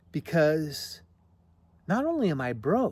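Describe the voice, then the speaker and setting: Very wide pitch swings run through this somewhat breathy delivery. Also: man. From grew up on a farm. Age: 60s. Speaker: vlogger. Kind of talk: personal monologue. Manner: halting, many false starts.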